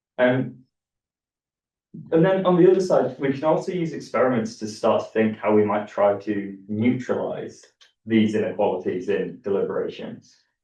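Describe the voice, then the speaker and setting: The speaker has a northern English accent. The pace is moderate. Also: man. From northern England. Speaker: academic author. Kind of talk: academic talk. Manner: repetitive false starts, many fillers.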